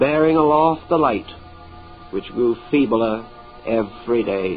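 Music plays in the background as a man speaks fairly slowly at medium pitch with ordinary pitch variation. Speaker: lecturer. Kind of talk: mystical story reading.

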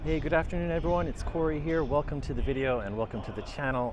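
A man talks against noticeable background noise. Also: dry sound with no echo. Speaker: travel vlogger. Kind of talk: casual vlog chat. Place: street. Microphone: phone near.

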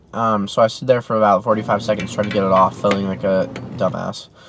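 A man talks at a fairly quick pace. The sound is dry with no echo, and there is light background noise. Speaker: vlogger. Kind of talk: casual vlog chat. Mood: mildly frustrated, wry. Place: car. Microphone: phone near.

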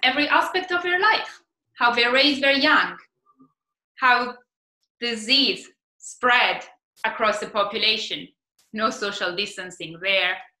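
In an Italian accent, a woman speaks high and at a fairly slow pace, her tone bright and sharp with very wide pitch swings. Room echo is audible, though the background stays quiet. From Italy. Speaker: PhD researcher, marine biologist. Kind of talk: science communication talk. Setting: stage competition presentation. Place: home room. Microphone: webcam.

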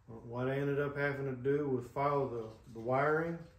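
There is audible room echo around a man who talks at a moderate pace with fairly even intonation. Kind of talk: tutorial. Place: garage. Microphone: camera far.

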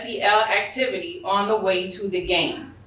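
Speaking with an American accent, a woman sounds animated, with lively intonation and audible room echo. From New York. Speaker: school social-emotional learning coordinator; presenter. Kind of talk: conference presentation. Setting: stage with audience. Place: hall.

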